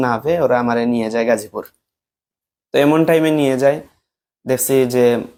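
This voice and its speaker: A man with an unremarkable speaking voice. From Bangladesh, Moulvibazar district (Sylhet region). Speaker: former madrasa student, alleged victim of false case. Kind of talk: testimony.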